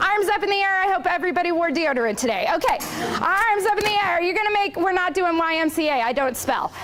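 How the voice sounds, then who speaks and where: Extremely high-pitched and animated, a woman talks at a very fast pace with lively intonation and very even loudness. Noticeable background noise and audible room echo are present. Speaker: leadership trainer. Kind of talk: conference presentation. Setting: stage with audience.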